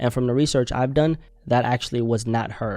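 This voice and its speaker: With a non-native accent, a man speaks at a fairly quick pace in a medium pitch and fairly even intonation. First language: not English. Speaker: commentary youtuber. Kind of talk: news commentary. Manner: casual, conversational.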